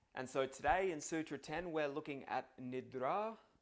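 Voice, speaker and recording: A man with an Australian accent at a very slow pace, his intonation lively. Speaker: yoga philosophy teacher. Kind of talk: tutorial. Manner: casual.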